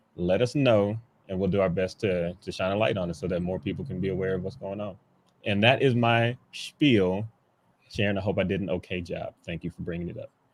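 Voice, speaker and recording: In a quiet setting, a man with a fairly low voice speaks at a fairly quick pace. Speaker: photographer and festival organizer. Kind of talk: casual chat. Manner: monotone.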